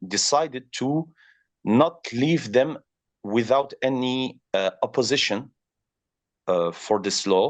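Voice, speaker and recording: Against a quiet background, a man with a French accent speaks at medium pitch with very wide pitch swings. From France. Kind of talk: interview. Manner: halting, many fillers.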